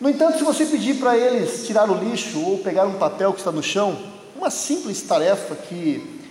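A man speaks at a moderate pace with a Brazilian accent and lively intonation over noticeable background noise. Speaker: preacher. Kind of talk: sermon in church, with prayer and scripture reading. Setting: church service with congregation. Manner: earnest, persuasive pulpit delivery, direct appeals to the congregation.

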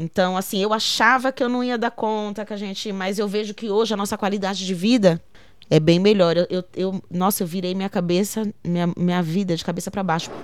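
A woman with a normal speaking voice talks fairly quickly at a medium pitch, with fairly even intonation. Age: 30s. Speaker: poet and arts educator. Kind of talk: interview testimony.

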